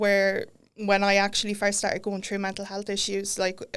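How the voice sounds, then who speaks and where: A woman's medium-pitched voice in an Irish Midlands accent, on a very clean recording with a silent background. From Ireland. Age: 30s. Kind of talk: podcast interview. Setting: studio.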